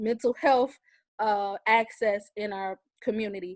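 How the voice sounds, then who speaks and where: A woman is speaking. The background is quiet. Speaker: community panelist. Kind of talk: panel discussion. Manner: fast.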